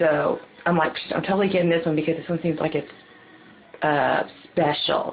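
Vocal fry colors a woman's speech as she goes at a fairly quick pace.

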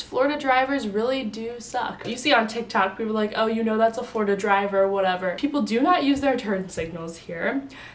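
Animated in tone, a woman speaks at a fairly quick pace with a fairly high pitch and ordinary pitch variation. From US Midwest, Illinois. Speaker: college student vlogger. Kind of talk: casual vlog talk to camera. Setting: sitting at home filming. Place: home room. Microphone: camera far.

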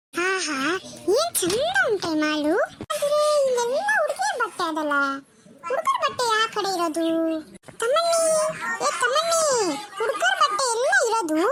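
A squeaky, cartoonish character voice from a woman, extremely high in pitch with very wide pitch swings, at a fairly slow pace. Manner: affectionate, folksy.

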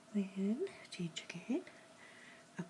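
The voice belongs to a whispering woman. She goes at a moderate speed. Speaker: beauty vlogger. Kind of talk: makeup tutorial chat. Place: home room. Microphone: phone near.

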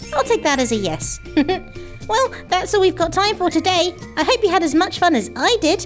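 An extremely high-pitched cartoonish character voice at a moderate pace, with clear music in the background. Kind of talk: children's show talk to camera. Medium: puppet. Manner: excited, upbeat.

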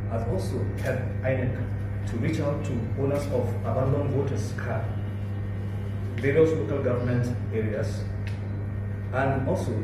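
Ordinary pitch variation at a moderate pace, long, frequent pauses, strong room echo, and music in the background. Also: man. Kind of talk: formal address at meeting. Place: meeting room.

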